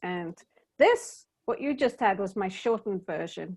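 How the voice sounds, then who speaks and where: Against a quiet background, someone with a British accent speaks at a fairly slow pace with ordinary pitch variation. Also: woman. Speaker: DEI workshop presenter. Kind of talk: workshop Q&A discussion.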